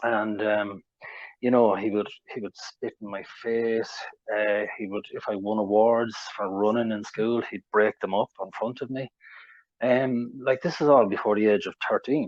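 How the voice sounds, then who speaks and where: Fairly slow speech in an Irish accent, with fairly even intonation. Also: man, fairly low pitch for a man. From Ireland. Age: 40s. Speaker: interviewee sharing mental health recovery story. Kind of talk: interview testimony. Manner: hesitant, with fillers and repetitions.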